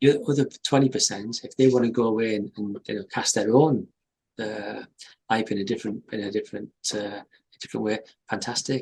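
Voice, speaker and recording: Speaking with a Teesside accent, a man keeps a medium pitch and fairly even intonation at a fairly quick pace, with big swings in loudness. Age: 60s. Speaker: company chief executive. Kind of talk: interview. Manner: halting, many repetitions.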